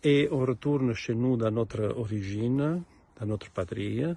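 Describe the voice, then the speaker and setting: A man with an Italian accent talks at a very slow pace. His pitch is medium, with ordinary pitch variation. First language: Italian (speaking French). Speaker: composer. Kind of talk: recorded presentation to an ensemble. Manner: halting, many hesitations and repetitions.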